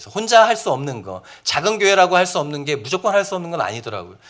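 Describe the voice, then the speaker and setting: On a very clean recording with a silent background, a man races along at a very fast pace in a bright, sharp tone with very wide pitch swings. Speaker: pastor. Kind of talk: seminar talk.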